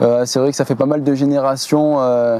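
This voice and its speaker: Noticeable background noise surrounds a man who talks at a fairly slow pace. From southern France, Var coast. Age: 20s. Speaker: landscape gardener. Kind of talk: interview. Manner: hesitant, many fillers.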